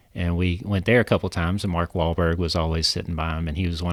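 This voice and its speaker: A man speaks in a Kentucky accent with a very deep, low pitch. His intonation is flat and monotone, and the recording is very clean with a silent background. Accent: Kentucky country. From central Kentucky. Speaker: legal marketing consultant. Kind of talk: casual chat. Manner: hesitant, many fillers.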